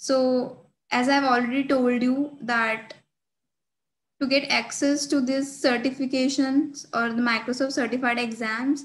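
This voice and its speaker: A high-pitched woman's voice in an Indian accent, fairly slow, with monotone, flat intonation. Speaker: student tech ambassador. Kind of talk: screen-share tutorial. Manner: hesitant, frequent fillers. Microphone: webcam.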